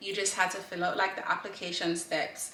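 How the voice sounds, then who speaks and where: A woman's medium-pitched voice amid audible room echo and noticeable background noise. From Jamaica (Kingston). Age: 20s. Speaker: fashion student vlogger. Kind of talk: casual vlog advice.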